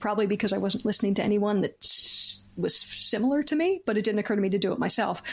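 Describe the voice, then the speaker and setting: Amid noticeable background noise, a woman with a Philadelphia accent talks at a very fast pace in a fairly high pitch, with ordinary pitch variation and very even loudness. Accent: American, Philadelphia. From US, Philadelphia. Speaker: comedian and comedy writer. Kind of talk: casual interview chat. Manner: halting, many restarts.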